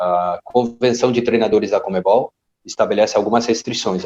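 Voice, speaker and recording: A man's dark, mellow voice with a Spanish accent, dry and close with no echo. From Argentina. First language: Spanish (speaking Portuguese). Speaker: football coach educator. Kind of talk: podcast interview.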